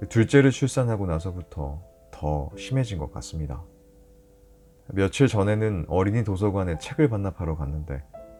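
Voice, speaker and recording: A man with a very deep, low voice speaks at a moderate pace, his pitch swinging very widely, with long, frequent pauses and music playing in the background. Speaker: announcer. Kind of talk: sleep story.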